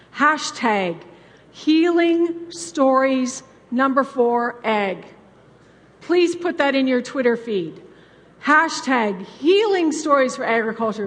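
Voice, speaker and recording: Amid noticeable background noise and audible room echo, a woman with a Canadian accent speaks at a very slow pace in a high pitch. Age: 60s. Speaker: farm family coach. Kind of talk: conference talk. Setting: stage with audience. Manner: animated.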